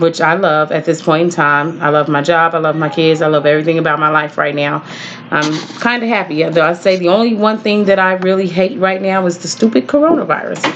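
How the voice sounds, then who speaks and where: An American accent at a fairly quick pace, over noticeable background noise. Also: woman, fairly low pitch for a woman, ordinary pitch variation. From Texas. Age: 40s. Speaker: student. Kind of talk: class introduction video. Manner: hesitant, many fillers.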